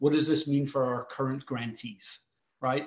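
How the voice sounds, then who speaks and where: A man speaks at a moderate pace in a Scottish accent. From Scotland, Glasgow. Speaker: foundation president and CEO. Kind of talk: panel discussion. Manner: halting, many fillers and repetitions.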